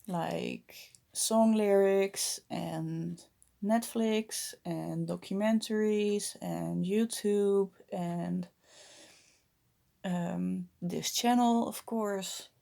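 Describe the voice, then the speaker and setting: A woman speaks with a Dutch accent at a very slow pace in a very clean recording with a silent background. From Netherlands. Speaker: vlogger. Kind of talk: casual vlog monologue. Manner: halting, many fillers.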